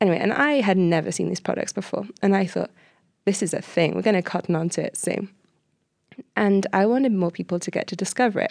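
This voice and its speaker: A woman's very fast speech at a medium pitch, with ordinary pitch variation and a Welsh accent. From Wales, Cardiff. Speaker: entrepreneur. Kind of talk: interview.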